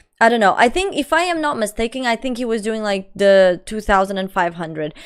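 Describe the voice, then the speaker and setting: Recorded very cleanly against a silent background, a woman with a Portuguese accent talks in a fairly high pitch. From Portugal. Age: 20s. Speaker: live streamer. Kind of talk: casual chat. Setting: live stream.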